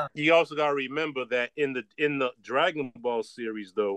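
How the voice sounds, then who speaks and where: With a quiet background and a dry, close sound with no echo, a man speaks fairly quickly in an unremarkable speaking voice at a fairly high pitch. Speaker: podcast co-host. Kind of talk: casual chat.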